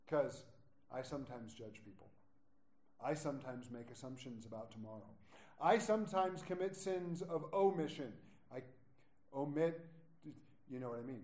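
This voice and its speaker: In a room with audible echo, a man with a fairly high pitch speaks at a fairly quick pace, with lively intonation, big swings in loudness, and long, frequent pauses. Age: 40s. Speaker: pastor. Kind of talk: sermon. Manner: animated.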